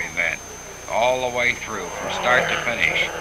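Amid noticeable background noise, a man with an upbeat tone speaks at a medium pitch and a moderate pace. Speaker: newsreel narrator. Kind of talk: 1950s sports newsreel commentary. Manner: brisk, clipped, upbeat announcer delivery; excited, emphatic, rattling off car and driver names.

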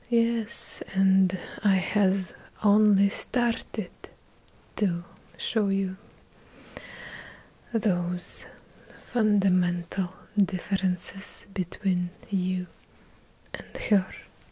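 Soft-spoken and monotone, a woman talks with flat intonation and long, frequent pauses. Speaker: content creator. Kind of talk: soft-spoken ASMR-style role-play talk. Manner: soft-spoken, close-mic, slow. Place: home room. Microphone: studio mic.

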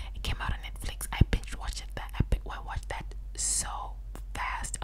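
Whispering at a fairly slow pace, a woman speaks. Noticeable background noise is present. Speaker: ASMR creator. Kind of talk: soft casual chat, ASMR-style. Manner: close-mic whispered rambling. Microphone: studio mic.

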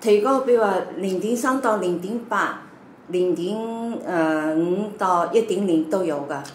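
Amid light background noise and audible room echo, a woman speaks fairly slowly with ordinary pitch variation. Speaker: doctor. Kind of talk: interview answers, explanatory. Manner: halting, with many fillers. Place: home room. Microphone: camera far.

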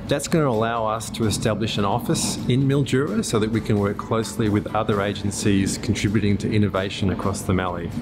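Clear music plays in the background as a man speaks at a very fast pace with ordinary pitch variation. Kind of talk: interview answer. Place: workshop.

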